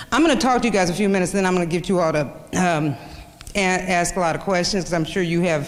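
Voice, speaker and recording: A woman with an American accent, fairly low in pitch, very even in loudness, with ordinary pitch variation and audible room echo. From Kansas. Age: 50s. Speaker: journalist. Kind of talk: lecture. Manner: halting.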